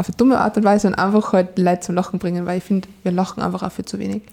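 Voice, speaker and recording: A woman in a Salzburg accent, very fast and monotone with flat intonation, over noticeable background noise. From Austria, Salzburg. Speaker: dating podcast guest, single. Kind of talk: casual interview chat. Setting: studio, in person.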